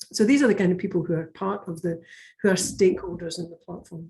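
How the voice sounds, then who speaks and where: Somewhat breathy and dark, mellow in tone, a woman speaks with a Scottish accent. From Scotland. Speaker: education network leader. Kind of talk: webinar presentation. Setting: video call. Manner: halting, many fillers.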